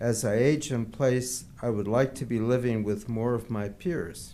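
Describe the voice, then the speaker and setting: With a dark, mellow tone, a man talks at a very slow pace, his pitch moving in an ordinary way as the room echoes audibly. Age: 80s+. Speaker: public commenter, retiree. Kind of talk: public comment at council meeting. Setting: city council meeting.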